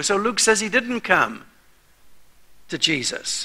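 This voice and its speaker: A man speaks in a raised, projected voice with a bright, sharp tone. He goes at a fairly slow pace against a quiet background. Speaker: preacher. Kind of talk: sermon. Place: church.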